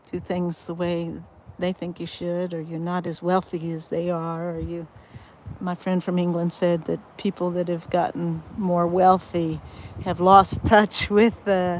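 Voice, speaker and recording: The voice moves at a fairly slow pace with monotone, flat intonation. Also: woman, fairly low pitch for a woman. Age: 60s. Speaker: vlogger and ministry founder. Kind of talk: casual livestream talk to camera. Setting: outdoors on a boat. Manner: halting, many fillers.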